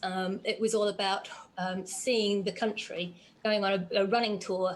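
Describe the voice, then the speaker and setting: The woman's medium-pitched voice stays monotone, with flat intonation throughout. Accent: Australian. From Australia, Geelong near Melbourne. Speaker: endurance runner and interviewer. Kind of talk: casual interview chat. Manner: hesitant, many fillers.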